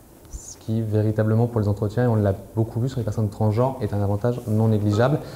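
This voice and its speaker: A man's medium-pitched, somewhat breathy voice at a very fast pace, with fairly even intonation. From France. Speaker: prison inspector, lawyer. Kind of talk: conference talk. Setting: conference hall with audience.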